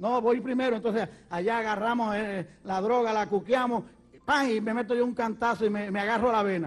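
Intonation is fairly even here. Delivery moves at a fairly quick speed. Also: man, high pitch for a man. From Puerto Rico. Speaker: evangelist preacher. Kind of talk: sermon testimony.

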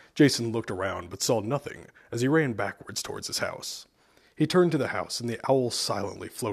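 Ordinary pitch variation in plain reading aloud

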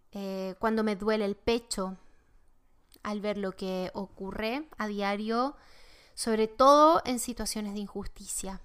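In a very clean recording with a silent background, a woman with an unremarkable speaking voice talks at a fairly slow pace, her medium pitch carried by fairly even intonation. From Chile. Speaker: tarot teacher, podcast host. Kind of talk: spiritual teaching monologue.

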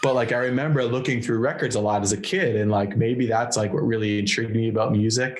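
Amid noticeable background noise, a man with an American accent talks very fast at a medium pitch, with fairly even intonation and very even loudness. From Massachusetts, between Boston and Worcester. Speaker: hardcore guitarist. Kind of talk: casual chat. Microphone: laptop mic.

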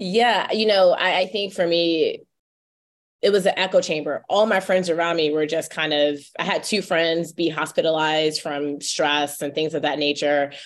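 Speaking in an ordinary speaking voice, a woman with an American accent and a fairly low pitch talks at a moderate pace in a very clean recording with a silent background. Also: fairly even intonation. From North Carolina. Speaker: tech founder and author. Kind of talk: interview.

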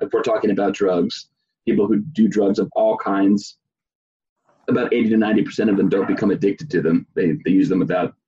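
A man speaks at a fairly low pitch. His tone is dark and mellow with a slightly husky edge.

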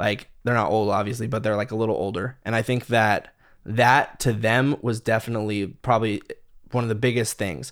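A plain, everyday voice with fairly even intonation in a very clean recording with a silent background. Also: man, medium pitch for a man, fairly quick pace. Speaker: metal guitarist and music producer. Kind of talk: casual chat.

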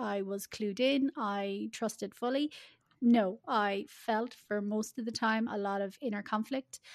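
This woman has an unremarkable speaking voice, pitched fairly high, at a fairly slow pace. The background is quiet. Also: fairly even intonation, dry, close sound with no echo. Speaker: life coach. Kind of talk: casual interview chat.

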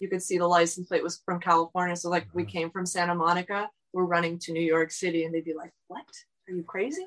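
Speaking very fast with a South Florida accent, a woman keeps a fairly low pitch and fairly even intonation while her loudness swings widely. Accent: American, South Florida. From South Florida, Miami. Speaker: running support crew. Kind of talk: interview.

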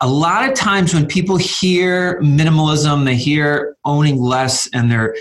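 Fairly high-pitched, a man with an unremarkable speaking voice talks at a fairly slow pace with lively intonation. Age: 40s. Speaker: minimalism author and blogger. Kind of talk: interview.

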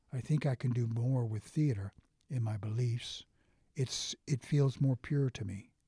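In a very clean recording with a silent background and a dry, close sound with no echo, a man with an American accent talks at a fairly slow pace, his medium-pitched, somewhat breathy voice dark and mellow in tone, with ordinary pitch variation. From United States. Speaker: actor. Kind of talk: casual chat.

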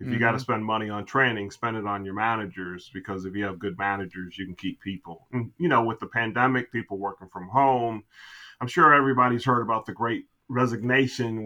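A man talks at a very fast pace in an American accent. His tone is bright and sharp. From Chicago area. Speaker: podcast guest, business coach.

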